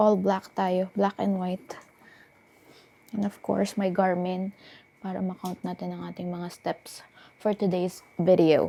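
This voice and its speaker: Speaking at a fairly slow pace with long, frequent pauses, a woman keeps a monotone, flat intonation in a dark, mellow tone. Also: medium pitch for a woman. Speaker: travel vlogger. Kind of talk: travel vlog. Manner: soft-spoken.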